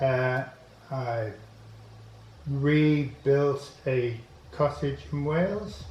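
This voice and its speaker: Ordinary pitch variation comes through with audible room echo and music in the background. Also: man. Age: 80s+. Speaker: inventor. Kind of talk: interview. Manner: halting.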